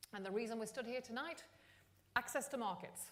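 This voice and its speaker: A woman with a London accent speaks at a fairly high pitch with lively intonation. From London, England. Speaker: entrepreneur network founder. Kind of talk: speech. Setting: stage with audience.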